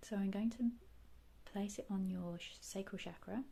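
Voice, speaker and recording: A woman speaks in a gentle, dark, mellow tone that is somewhat breathy, at medium pitch with fairly even intonation. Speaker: reiki and ASMR guide. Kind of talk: guided meditation / healing session. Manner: soft, gentle, calming.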